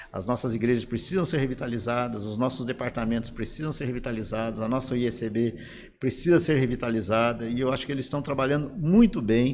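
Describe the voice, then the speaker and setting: Speaking at a very fast pace, a man uses medium pitch with ordinary pitch variation. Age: 60s. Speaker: pastor and former denominational leader. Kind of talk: interview conversation.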